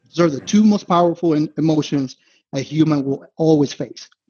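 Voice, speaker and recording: A man speaks with a Spanish accent. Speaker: investment analyst. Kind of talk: podcast interview. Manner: casual, frequent fillers and restarts.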